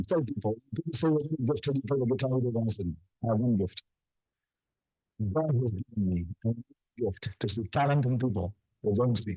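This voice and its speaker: Speaking at a moderate pace, a man has a medium-pitched, dark, mellow, somewhat breathy voice with ordinary pitch variation and a dry, close sound with no echo. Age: 60s. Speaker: professor. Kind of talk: workshop presentation.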